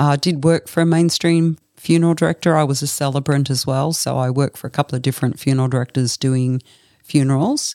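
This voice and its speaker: A woman with an Australian accent, very deep, low pitch, a dark, mellow tone, fairly even intonation, a very fast pace and a dry, close sound with no echo. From Australia, Brisbane. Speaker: funeral director. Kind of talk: interview.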